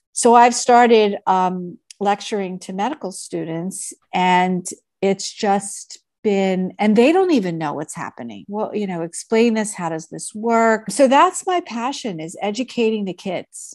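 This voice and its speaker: Over a quiet background, a woman with an American accent and a normal speaking voice talks at a fairly slow pace in a medium pitch, with ordinary pitch variation and big swings in loudness. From Philadelphia, US. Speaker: physician and telehealth founder. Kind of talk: interview.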